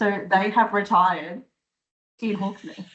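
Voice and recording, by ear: The pace is slow and the tone fairly bright. Intonation stays fairly even throughout. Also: woman, medium pitch for a woman.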